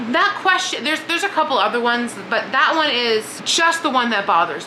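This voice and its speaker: A woman's high, raised, projected voice comes at a fairly quick pace in an animated tone, with noticeable background noise and audible room echo. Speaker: book vlogger. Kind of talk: casual monologue. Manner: fast.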